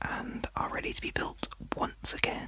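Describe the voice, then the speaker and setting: A man whispers over noticeable background noise. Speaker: ASMR content creator. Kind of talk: ASMR whisper video for sleep and relaxation. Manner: soft-spoken, whispering.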